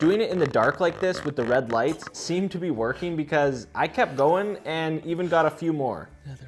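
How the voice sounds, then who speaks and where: An animated voice at a fairly quick pace, ordinary pitch variation, and music in the background. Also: man, fairly high pitch for a man. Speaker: DIY video creator. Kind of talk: vlog narration.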